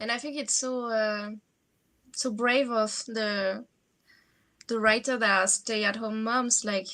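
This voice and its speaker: This woman has a strong French accent and a fairly high pitch. Her tone is bright and sharp, with fairly even intonation. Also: very clean recording, silent background. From France. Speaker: fantasy writer, vlogger. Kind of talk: casual chat. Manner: halting.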